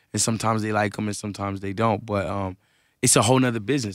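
Speaking very fast in a flat monotone, a man with fairly low pitch is heard against a quiet background in a dry sound with no echo. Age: 20s. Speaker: rapper; guest. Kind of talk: casual interview. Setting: radio studio. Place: studio. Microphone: studio mic.

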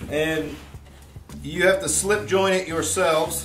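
Clear music can be heard behind a man as he talks. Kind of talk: casual tutorial chat. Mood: relaxed, wry. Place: home room. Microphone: camera far.

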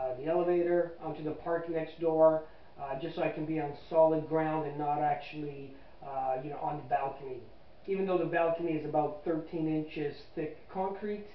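A man speaks at a moderate pace in a monotone, flat intonation. Light background noise and audible room echo are present. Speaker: amateur astronomer reviewing telescopes. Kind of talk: casual review talk. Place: home room. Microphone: camera far.

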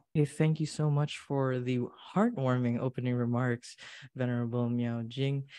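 This man speaks with a Filipino accent at medium pitch and a moderate pace, his tone dark and mellow. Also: quiet background. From Philippines. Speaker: event emcee. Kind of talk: event hosting. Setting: online livestream. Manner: animated. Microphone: webcam.

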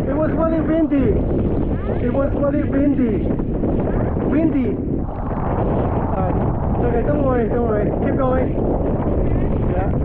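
Amid loud background noise, the speaker goes at a fairly slow pace with long, frequent pauses. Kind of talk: casual spoken remarks to a swimmer. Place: waterside.

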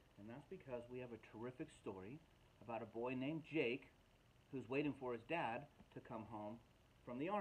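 The text is read aloud in a natural voice that shows ordinary pitch variation.

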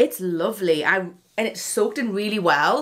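Noticeable background noise is present. Over it, a woman is speaking. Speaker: beauty YouTuber. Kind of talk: product unboxing review. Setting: home, curtains drawn. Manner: animated.

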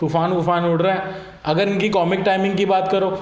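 Audible room echo surrounds a man speaking in a high pitch. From Ludhiana, Punjab, India; Punjab, India. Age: 30s. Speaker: YouTube reaction vlogger. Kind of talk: casual YouTube reaction commentary. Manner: animated. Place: home room. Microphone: webcam.

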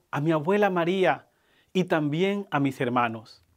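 A man with a fairly high pitch speaks at a fairly slow pace with ordinary pitch variation. The recording is very clean, with a silent background. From Colombia, Buenaventura (Pacific coast). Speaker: groom. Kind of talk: wedding speech. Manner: formal.

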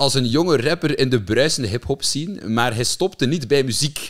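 A man talks at a fairly quick pace with hardly any pauses and ordinary pitch variation, against a quiet background. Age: 20s. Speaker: podcast host. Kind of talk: casual chat; podcast intro and interview questions. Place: studio. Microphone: studio mic.

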